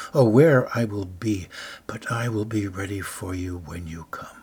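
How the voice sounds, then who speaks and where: Somewhat breathy and fairly low-pitched, a man speaks at a fairly slow pace. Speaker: devotional speaker. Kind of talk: fervent prayer and guided meditation. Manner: calm, gentle, slow and soothing; earnest, fervent, imploring.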